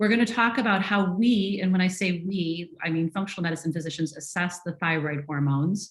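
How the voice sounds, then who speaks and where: Delivery comes at a fairly quick pace. There is a somewhat breathy quality to the voice. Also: woman. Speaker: functional medicine physician. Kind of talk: webinar presentation. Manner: fast.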